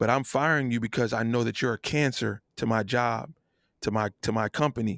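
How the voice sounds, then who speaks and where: An animated voice with an American accent moves at a fairly quick pace and very even loudness. The sound is dry and close with no echo, in a very clean recording with a silent background. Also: man, medium pitch for a man. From New Jersey. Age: 40s. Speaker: singer and producer. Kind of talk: podcast interview.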